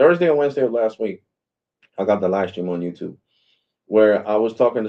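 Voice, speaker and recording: This man's voice sits fairly low in pitch. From Puerto Rico. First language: Spanish. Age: 40s. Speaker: live streamer on a customer service call. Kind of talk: heated phone complaint. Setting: phone call on live stream. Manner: animated.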